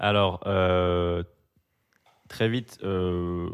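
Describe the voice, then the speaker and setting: This man has a very deep, low-pitched voice. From France, Biarritz (Basque coast) and Paris. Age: 30s. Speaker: graphic designer and amateur DJ. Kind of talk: casual chat.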